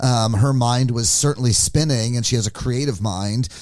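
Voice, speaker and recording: The pace is fairly quick, with ordinary pitch variation. It is a normal speaking voice. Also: man. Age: 60s. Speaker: music photographer. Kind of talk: podcast interview. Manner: casual, with fillers.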